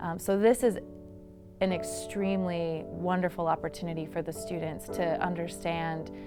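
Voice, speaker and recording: Music plays in the background. Over it, a woman speaks at a fairly low pitch. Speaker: history professor. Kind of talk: explaining the project in an interview.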